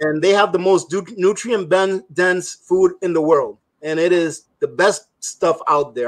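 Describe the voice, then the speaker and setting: With a slight Spanish accent, a man speaks at a high pitch. His pace is moderate and his intonation fairly even. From immigrated to US at age three from a Spanish-speaking country. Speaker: prepping guest. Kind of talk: casual chat. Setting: live stream.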